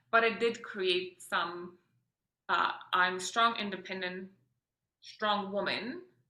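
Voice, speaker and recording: A woman talks in a Polish accent with a bright, sharp tone. Her intonation stays fairly even. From Poland, then Austria and Edmonton, Canada. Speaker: mother and entrepreneur. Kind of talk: podcast interview, personal story. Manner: many fillers and self-corrections.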